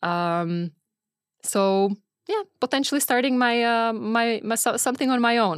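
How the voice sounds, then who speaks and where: In a Czech accent, a woman with a fairly high pitch talks at a fairly slow pace, her loudness very even and her intonation lively. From Czech Republic. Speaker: venture capital partner. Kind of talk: casual interview. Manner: hesitant, many fillers.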